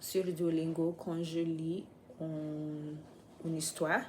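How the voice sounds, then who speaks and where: A woman with a non-native accent speaks at a fairly low pitch in a dark, mellow tone. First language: not French (speaking French). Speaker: vlogger, French learner. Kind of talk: casual vlog. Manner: halting, many hesitations.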